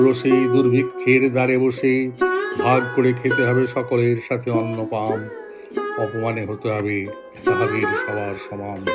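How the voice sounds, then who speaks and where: A man speaks at a medium pitch in a monotone, flat intonation, with music playing in the background. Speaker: poetry reciter. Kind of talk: poetry reading. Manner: heartfelt, emotional.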